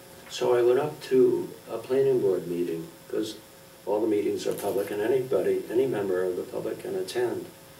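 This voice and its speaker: There is noticeable background noise as a man speaks. His voice carries an audible room echo. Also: fairly quick pace. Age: 70s. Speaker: local election candidate, planning board. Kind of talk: candidates forum closing remarks.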